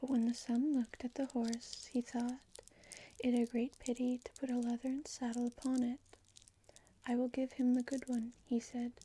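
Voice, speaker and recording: A soft-spoken voice delivered at a moderate pace. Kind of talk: storybook reading.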